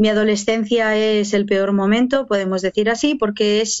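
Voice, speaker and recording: A woman at a medium pitch with fairly even intonation, a plain, everyday voice. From Basque Country, Spain (Barakaldo, Biscay). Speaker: pro-life activist and speaker, former abortion clinic worker. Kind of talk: testimony.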